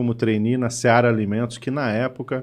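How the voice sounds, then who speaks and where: Medium in pitch, this man's voice is easy to place. He talks fairly briskly. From interior of São Paulo state, Brazil (Catanduva). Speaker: HR consultant. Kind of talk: podcast interview.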